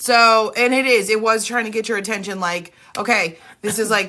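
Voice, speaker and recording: A woman speaks loudly at a moderate pace, her fairly high voice bright and sharp. Her tone is animated, and the background is quiet. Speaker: spiritual reader. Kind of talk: live stream chat.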